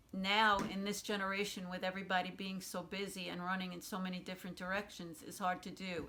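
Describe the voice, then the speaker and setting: A woman talks at a moderate pace and medium pitch, using a bright, sharp tone and monotone, flat intonation. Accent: Brooklyn. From New York City, Brooklyn. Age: 60s. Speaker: oral history interviewee. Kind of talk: oral history interview.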